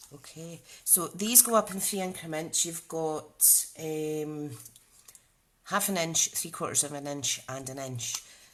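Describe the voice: A woman at a fairly slow pace with ordinary pitch variation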